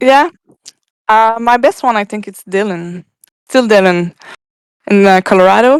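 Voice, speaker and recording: A woman with a French accent at a fairly high pitch, fairly slow with long, frequent pauses, big swings in loudness, and a dry, close sound with no echo. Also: ordinary pitch variation. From Quebec, Canada. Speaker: guest, music fan. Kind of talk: casual chat. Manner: halting, many fillers.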